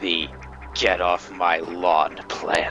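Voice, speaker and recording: With music in the background, a man's raspy, husky voice sits at a very deep, low pitch. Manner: gruff, grumbling.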